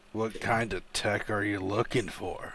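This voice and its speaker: A man puts on a raspy character voice with a fairly low pitch. He keeps a moderate pace. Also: monotone, flat intonation. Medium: actual play. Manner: brisk, businesslike.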